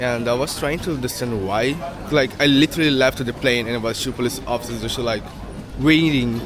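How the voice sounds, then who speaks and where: A man with a Portuguese accent and ordinary pitch variation, against noticeable background noise. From Brazil. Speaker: travel vlogger. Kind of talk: casual vlog.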